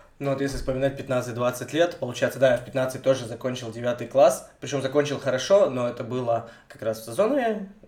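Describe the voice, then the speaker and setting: This man speaks at a medium pitch and a moderate pace, with ordinary pitch variation and hardly any pauses. Noticeable background noise sits behind him. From Russia, Vologda region (Cherepovets area). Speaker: podcast co-host. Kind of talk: casual chat.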